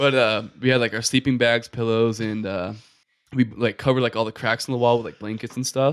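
Speaking at a fairly quick pace, a man holds a medium pitch in a monotone, flat intonation. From Maine. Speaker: podcast guest, storyteller. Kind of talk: casual chat.

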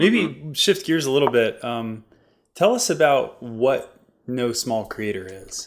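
In an unremarkable speaking voice, a man talks at a fairly slow pace and medium pitch, with lively intonation and big swings in loudness. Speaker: podcast host. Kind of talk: interview conversation.

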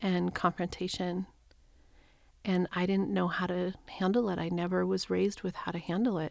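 A woman with an American accent speaks at medium pitch in a flat monotone. The recording is very clean, with a silent background. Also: moderate pace. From New Mexico, US. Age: 50s. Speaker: spiritual coach and reverend. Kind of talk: casual chat.

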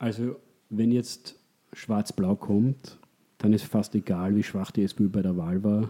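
At a moderate pace, a man speaks in a fairly low, dark and mellow voice with fairly even intonation. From Austria. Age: 30s. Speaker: economist. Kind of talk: interview. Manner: halting, many repetitions.

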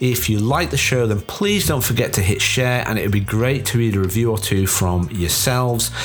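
At a moderate pace and with hardly any pauses, a man with a medium pitch and ordinary pitch variation keeps his loudness very even, heard with audible room echo and noticeable background noise. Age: 40s. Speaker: podcast host, brand designer. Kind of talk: casual interview; scripted intro and outro.

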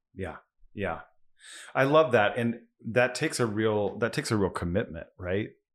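A man with an American accent, fairly low in pitch with ordinary pitch variation, at a moderate pace with long, frequent pauses against a quiet background. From US Midwest, central Kansas. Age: 40s. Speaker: podcast host and orchestra conductor. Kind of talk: interview conversation. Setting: around a kitchen table in Austin.

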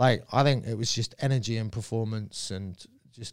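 The recording is very clean with a silent background, carrying a southern English accent at a moderate pace. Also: man. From Surrey, England. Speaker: comedian. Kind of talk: casual chat.

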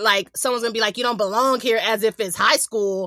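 A bright, sharp tone in a dry, close sound with no echo. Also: woman. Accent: American. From US West Coast, San Diego. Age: 40s. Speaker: podcast co-host. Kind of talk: casual chat.

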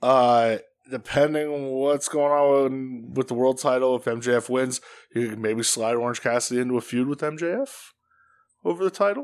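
Medium-pitched and moderately paced, a man's plain, everyday voice shows ordinary pitch variation. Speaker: wrestling podcast co-host. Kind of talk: casual banter podcast chat. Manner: joking, playful.

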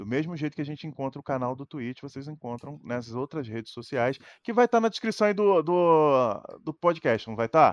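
A man with an unremarkable speaking voice talks at a fairly quick pace and a fairly high pitch, with lively intonation and big swings in loudness. The sound is dry and close with no echo, over a quiet background. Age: 30s. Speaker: streamer. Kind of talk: casual chat.

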